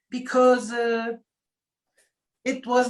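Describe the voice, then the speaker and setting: At a fairly slow pace, a woman with a German accent speaks in a somewhat breathy voice at a fairly high pitch. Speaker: spiritual coach. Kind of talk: casual chat.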